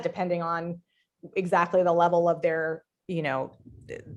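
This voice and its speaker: At a moderate pace, a woman talks at a fairly low pitch. Hers is an ordinary speaking voice. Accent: American. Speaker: writer and life coach. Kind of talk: casual interview conversation.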